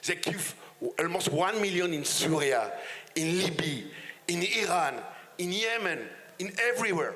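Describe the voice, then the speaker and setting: A man's high-pitched, passionate speech in a strong French accent, with long, frequent pauses, audible room echo and noticeable background noise. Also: ordinary pitch variation, moderate pace. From France. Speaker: politician. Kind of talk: panel discussion. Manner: halting.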